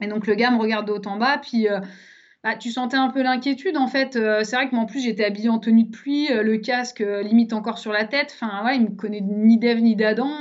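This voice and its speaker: With a plain, everyday voice, a woman speaks at a fairly high pitch. Her pace is fairly quick and her intonation fairly even. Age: 30s. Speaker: traveller. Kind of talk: casual interview. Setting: studio.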